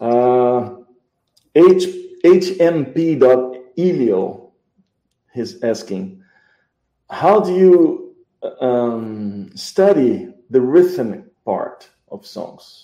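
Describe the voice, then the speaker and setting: Very slow speech from a man with a Portuguese accent, dark and mellow in tone, at a medium pitch, with very wide pitch swings, big swings in loudness and long, frequent pauses. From Brazil. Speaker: musician and music show host. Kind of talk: live interview.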